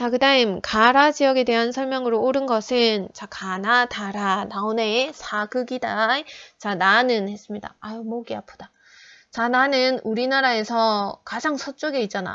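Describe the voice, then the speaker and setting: A woman's fairly high voice carries a bright, sharp tone and fairly even intonation, with big swings in loudness. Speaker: high school geography teacher. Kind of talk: online lecture. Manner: slow.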